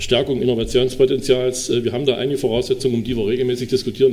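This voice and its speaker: Against noticeable background noise, a man at a medium pitch speaks at a very fast pace with fairly even intonation. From Sachsen-Anhalt, Dessau. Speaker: state politician. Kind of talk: panel talk.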